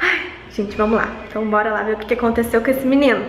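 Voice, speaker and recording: A woman talks at a fairly quick pace, with audible room echo and light background noise. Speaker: vlogger. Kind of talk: casual vlog chat. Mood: shaken but cheerful. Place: hall. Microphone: phone near.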